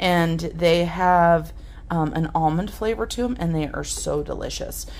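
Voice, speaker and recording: This woman has an ordinary speaking voice with a fairly low pitch and ordinary pitch variation. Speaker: home haul vlogger. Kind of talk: casual vlog chat. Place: kitchen. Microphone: phone near.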